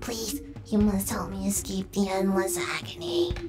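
Clear music plays in the background as a woman speaks. She uses a put-on character voice at a moderate pace. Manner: eerie, anguished, pleading.

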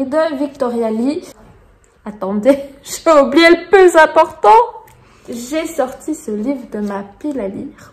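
A high-pitched woman speaks very slowly, leaving long, frequent pauses. Her intonation is lively and her loudness swings a lot. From Belgium. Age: 30s. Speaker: booktuber. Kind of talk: casual talk to camera.

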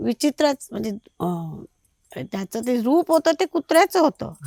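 The sound is dry and close, without any echo. It is a woman talking. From Konkan, Maharashtra. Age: 50s. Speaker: host's mother. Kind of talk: personal storytelling. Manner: halting.

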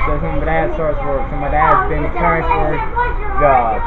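A man speaks with crowd noise in the background. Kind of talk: casual vlog chat. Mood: slightly glum about moving. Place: train. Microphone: phone near.

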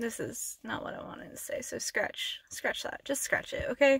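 Against a quiet background, a woman speaks at a moderate pace with a dry sound and no echo. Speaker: ASMR channel creator. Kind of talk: casual vlog chat. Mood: emotional, earnest, slightly upset. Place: car. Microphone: phone near.

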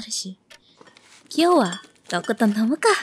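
A soft-spoken woman talks in a playful tone, somewhat breathy. The sound is dry with no echo, over light background noise. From Indonesia. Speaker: ASMR voice actress. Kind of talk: ASMR girlfriend roleplay, scripted. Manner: soft, intimate, teasing; affectionate, playful, laughing. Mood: sweet, affectionate, relaxed. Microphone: studio mic.

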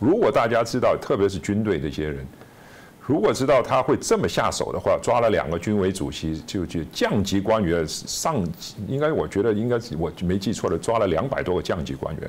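A man with a fairly low pitch talks at a fairly quick pace with lively intonation. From China. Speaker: author and former businessman; guest. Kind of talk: interview; interview answer. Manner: halting with repetitions. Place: studio. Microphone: lapel.

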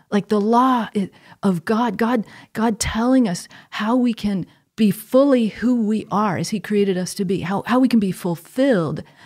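A woman speaks with an American accent at a moderate pace. Her fairly high pitch shows ordinary variation over a quiet background. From US Northeast, Connecticut. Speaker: theology professor. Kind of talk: conversational interview on faith; interview answer. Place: studio. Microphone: studio mic.

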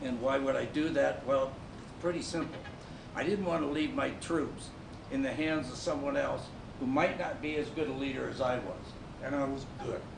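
A man's fairly high voice with an American accent, fairly even intonation and a moderate pace, over noticeable background noise. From Nebraska. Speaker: Army Ranger Vietnam veteran. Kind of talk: staged testimony. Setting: stage with audience. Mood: earnest, grave. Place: stage. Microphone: camera far.

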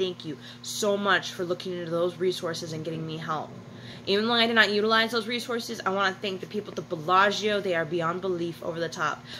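A woman at a fairly quick pace with ordinary pitch variation, over light background noise. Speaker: vlogger. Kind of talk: casual vlog chat. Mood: grateful, earnest. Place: home room. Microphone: phone near.

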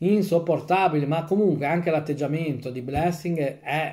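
A man talks at a fairly quick pace with fairly even intonation. His tone is dark, mellow and somewhat breathy. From Italy. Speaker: football fan commentator, YouTuber. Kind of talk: angry rant, post-match fan rant aimed at the coach. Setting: home video channel, post-match stream. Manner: exasperated, indignant, repeating phrases with rising heat; fast, emphatic, sarcastic. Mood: frustrated, exasperated. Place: home room. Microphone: phone near.

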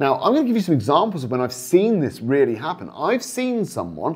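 Speaking at a moderate pace, a man lets his pitch swing very widely. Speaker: property investment coach. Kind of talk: talking-head explainer. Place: studio. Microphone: lapel.

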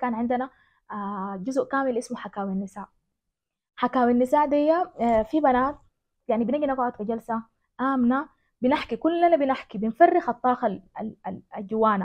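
A woman speaks at a high pitch with a Sudanese accent. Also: ordinary pitch variation, moderate pace, quiet background. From West Darfur, Sudan. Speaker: journalist and women's organization director. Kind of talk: interview answer. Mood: earnest, reflective. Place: home room.

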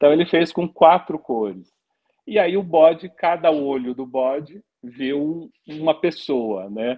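A man talks very slowly with lively intonation, the background quiet. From Brazil. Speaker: anthropology professor and author; anthropology professor. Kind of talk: interview; interview answer. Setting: live stream. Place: home room. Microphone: video call.

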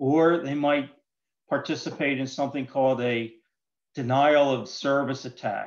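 Fairly even intonation from a man, with a quiet background. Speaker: presenter. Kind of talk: lecture. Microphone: video call.

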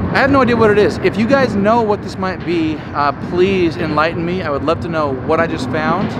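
A man's fairly quick speech over loud background noise. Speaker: river diver vlogger. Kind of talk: casual vlog chat. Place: waterside. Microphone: phone near.

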